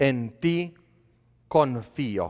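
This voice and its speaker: A man speaks with a Polish accent in an animated tone. The background is quiet. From Poland. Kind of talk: sermon. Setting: church. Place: church.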